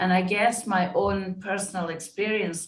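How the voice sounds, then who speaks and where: Speaking at a fairly slow pace, a woman uses a medium pitch with ordinary pitch variation and a somewhat breathy quality. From Scotland. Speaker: diversity and inclusion consultant. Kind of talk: interview conversation.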